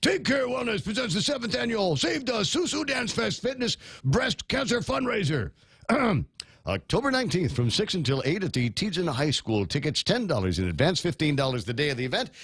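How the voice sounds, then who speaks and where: In a strained, put-on character voice, a man talks fairly quickly at a high pitch with very wide pitch swings. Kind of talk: radio commercial read.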